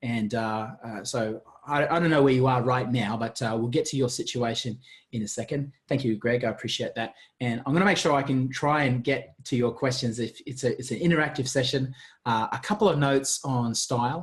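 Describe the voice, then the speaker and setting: A man with an Australian accent speaks at a fairly quick pace in a medium pitch, somewhat breathy, with ordinary pitch variation. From Australia, Gold Coast. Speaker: marketing coach. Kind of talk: webinar presentation. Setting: video webinar. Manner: fast; animated.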